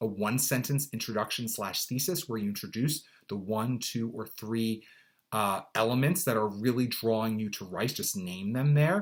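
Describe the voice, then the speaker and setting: A man's medium-pitched voice, with normal variation in pitch, comes through on a very clean recording against total silence. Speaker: college admissions consultant. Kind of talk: tutorial. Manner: fast.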